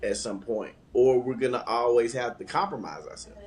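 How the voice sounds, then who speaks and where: A man's somewhat breathy, medium-pitched voice with a Southern US accent. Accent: country Southern. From Atlanta, US South. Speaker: podcast co-host. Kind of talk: casual chat. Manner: animated.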